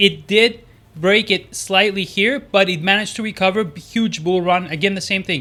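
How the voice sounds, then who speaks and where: Raised and projected, the man's high-pitched voice has a bright, sharp tone. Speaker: stock market youtuber. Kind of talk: stock analysis commentary. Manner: fast; hesitant, many fillers.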